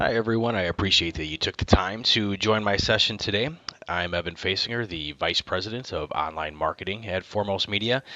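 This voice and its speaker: A man with a Wisconsin accent and a fairly low pitch talks at a fairly quick pace with ordinary pitch variation amid noticeable background noise. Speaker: marketing executive. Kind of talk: conference talk.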